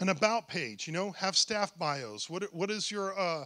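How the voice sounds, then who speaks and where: Speaking in a raised, projected voice, a man with a high pitch and a bright, sharp tone is heard on a very clean recording with a silent background. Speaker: church workshop presenter. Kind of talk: workshop presentation. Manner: halting, many fillers and restarts; fast.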